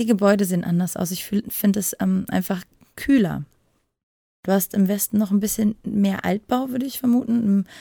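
A woman speaks at a moderate pace in a medium pitch with fairly even intonation. Her tone is dark, mellow and somewhat breathy, and the sound is dry and close with no echo. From western Germany. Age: 30s. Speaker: adult film performer. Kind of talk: casual interview. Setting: separate recording room.

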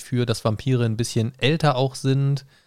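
A man speaks at a moderate pace in a plain, everyday voice, medium in pitch, with fairly even intonation. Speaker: podcast co-host. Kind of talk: casual chat. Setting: recording at his home.

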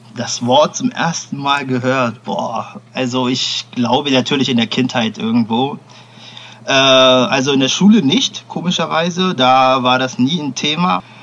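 A man's voice shows ordinary pitch variation against noticeable background noise. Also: medium pitch for a man, fairly slow pace. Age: young. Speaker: podcast co-host. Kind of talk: casual chat. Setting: remote recording.

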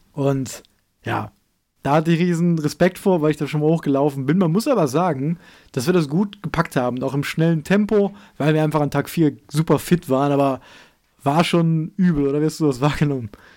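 This man has a dark, mellow tone and a fairly high pitch. He talks at a fairly quick pace with ordinary pitch variation. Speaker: outdoor podcast co-host. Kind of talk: casual chat.

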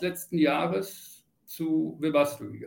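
The man speaks at a fairly high pitch. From Lower Saxony, Celle. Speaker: charging industry manager. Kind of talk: interview.

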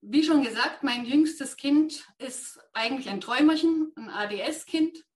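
A woman speaks very slowly at a high pitch with ordinary pitch variation. Her loudness swings widely. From Thuringia, near Jena. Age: 50s. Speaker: ADHD trainer with therapy dog. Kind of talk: interview.

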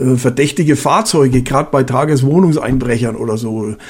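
Somewhat breathy, the man's medium-pitched voice moves at a moderate pace with ordinary pitch variation. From Bavaria. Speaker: retired police officer. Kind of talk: casual chat.

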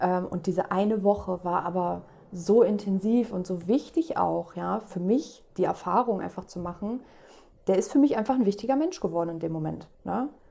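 Speaking at a moderate pace, a woman with a medium pitch and a dark, mellow tone shows vocal fry and ordinary pitch variation. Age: 30s. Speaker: guest with mental illness experience. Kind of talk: casual chat.

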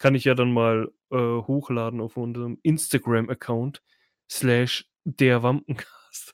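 The recording is very clean, with a silent background and a dry, close sound free of echo. A man speaks at a fairly slow pace. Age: 30s. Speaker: podcast host. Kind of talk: casual chat. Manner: loud. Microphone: too close to the mic; new PC recording.

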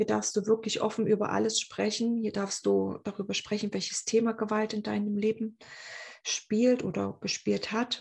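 Her fairly high voice is somewhat breathy and moves at a fairly slow pace. The woman's intonation stays monotone and flat. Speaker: podcast host, abuse survivor. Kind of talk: personal monologue. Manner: hesitant, many filler sounds.

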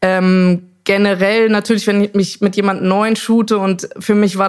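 Monotone, flat intonation from a woman, medium in pitch and moderate in pace. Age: 30s. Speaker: singer and photographer. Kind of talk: casual chat. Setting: living room at home.

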